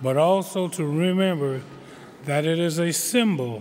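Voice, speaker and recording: There is noticeable background noise. A man talks with ordinary pitch variation. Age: 70s. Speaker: community college governing board member. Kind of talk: commencement speech. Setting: graduation ceremony.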